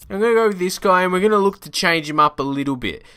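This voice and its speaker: Here is a man with an Australian accent, an animated, bright, sharp tone and lively intonation. The recording is very clean with a silent background. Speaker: gaming YouTuber. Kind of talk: gameplay commentary.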